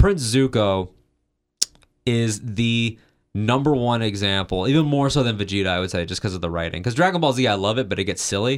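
Talking at a fairly quick pace, a man with a medium pitch uses lively intonation in a plain, everyday voice. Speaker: podcast co-host. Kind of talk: casual chat.

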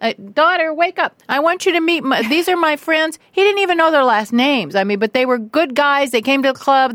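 Here is a woman with an American accent. Her pitch swings very widely. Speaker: guest's wife. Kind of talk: casual interview chat. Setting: studio.

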